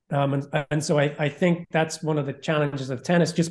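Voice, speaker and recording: A somewhat breathy man's voice with an American accent, fairly high in pitch, the intonation flat and monotone. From England. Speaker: tennis gear reviewer and content director. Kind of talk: casual interview. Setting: video call.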